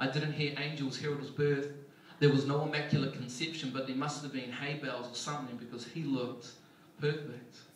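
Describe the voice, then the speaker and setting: This man's voice sits fairly high for a man, with monotone, flat intonation. Noticeable background noise runs underneath. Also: fairly quick pace. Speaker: spoken word poet. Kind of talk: spoken word poetry performance.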